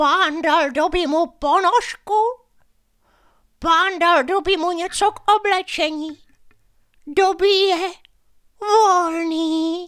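A man does a put-on character voice at an extremely high pitch, with long, frequent pauses.

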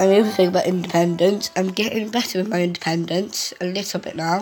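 A woman speaks with fairly even intonation while faint music plays in the background. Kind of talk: casual vlog chat. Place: home room. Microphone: phone near.

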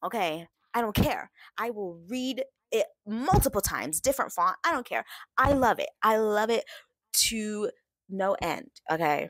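A woman with an American accent and a fairly high voice speaks at a moderate pace in an animated tone with lively intonation and long, frequent pauses, in dry sound with no echo and a quiet background. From West Texas. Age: 20s. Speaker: book content creator. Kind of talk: casual vlog monologue. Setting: home recording, screen recording. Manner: animated, laughing. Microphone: webcam.

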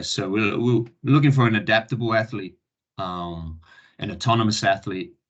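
Against a quiet background, a man with a slight New Zealand accent talks in a fairly low voice. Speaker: Olympic volleyball coach. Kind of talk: online presentation. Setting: online video session. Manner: halting, many fillers.

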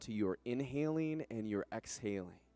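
A man talks at a moderate pace in a dry sound with no echo. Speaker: yoga instructor. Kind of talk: guided yoga class, calm step-by-step cueing and breath instruction. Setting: yoga studio class. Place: gym. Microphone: headset.

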